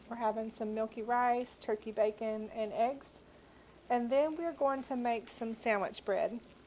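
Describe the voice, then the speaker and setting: A woman with a Southern US accent speaks fairly slowly, her fairly high voice keeping a fairly even intonation. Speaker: homemaker, home baker. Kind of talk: casual cooking tutorial to camera.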